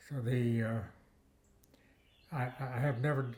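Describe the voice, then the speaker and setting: At a moderate pace, the voice comes across somewhat breathy with fairly even intonation. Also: man. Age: 90s. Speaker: retired botany professor. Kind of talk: interview. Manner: halting, with many fillers and repeated words.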